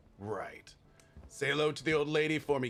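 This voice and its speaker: A man uses a put-on character voice at a fairly high pitch. He speaks fairly quickly, with ordinary pitch variation. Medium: video game. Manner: sarcastic, bitter.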